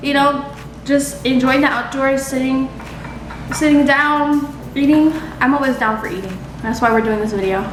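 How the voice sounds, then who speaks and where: A woman with an American accent speaks at a high pitch with ordinary pitch variation and long, frequent pauses, amid audible room echo and noticeable background noise. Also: moderate pace. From Naples, Florida. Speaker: daughter, guest on mukbang. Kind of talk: casual chat.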